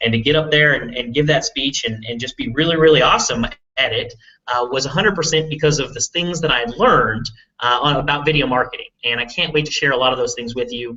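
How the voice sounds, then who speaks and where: Talking at a very fast pace with an urban Texas accent, a man uses fairly high pitch with ordinary pitch variation. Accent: Texas big-city. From Texas, big city. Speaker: online marketing entrepreneur. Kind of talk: live webinar presentation. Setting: live video hangout stream. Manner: casual, filler-heavy with repetitions.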